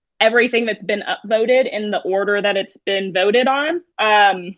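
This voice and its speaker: A woman uses an ordinary speaking voice at a moderate pace with lively intonation. The background is quiet. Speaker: digital learning coach. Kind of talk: webinar tutorial. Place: home room. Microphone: webcam.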